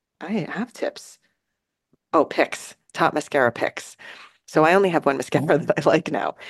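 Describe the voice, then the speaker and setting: A woman speaks in a New Jersey accent with a very deep, low pitch and long, frequent pauses. The sound is dry and close, with no echo. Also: ordinary pitch variation, moderate pace. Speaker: podcast co-host. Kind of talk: casual chat.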